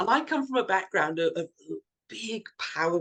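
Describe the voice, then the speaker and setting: The intonation here is lively. It belongs to a woman. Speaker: coaching and training consultant. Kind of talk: interview conversation. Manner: fast.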